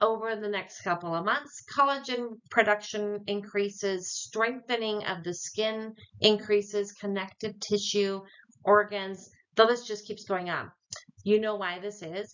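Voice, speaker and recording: At a fairly slow pace, a woman talks in a medium pitch. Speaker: wellness product distributor. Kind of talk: sales pitch. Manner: animated.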